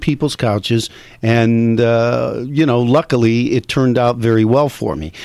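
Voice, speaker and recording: A man with a plain, everyday voice, medium in pitch with ordinary pitch variation, speaking at a fairly slow pace with an American accent. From Michigan. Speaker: comedian and actor. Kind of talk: casual chat.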